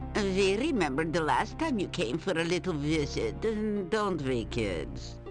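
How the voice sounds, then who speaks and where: Someone performs a put-on character voice over loud music in the background. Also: moderate pace. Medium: actual play. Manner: mocking, taunting.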